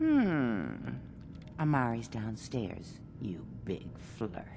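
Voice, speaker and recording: A put-on character voice at a low pitch drags along at a very slow pace against clear background noise. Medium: video game. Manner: coy, teasing.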